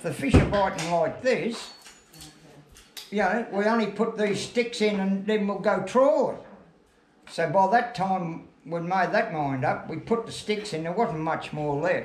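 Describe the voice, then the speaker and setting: Amid noticeable background noise and audible room echo, a man with a high pitch and ordinary pitch variation speaks at a fairly slow pace. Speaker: retired fisherman. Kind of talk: casual chat. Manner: halting.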